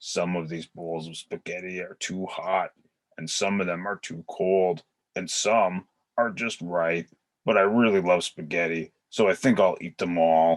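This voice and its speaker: This man puts on a character voice with a very deep, low pitch. He talks at a moderate pace. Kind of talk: children's storybook read-aloud.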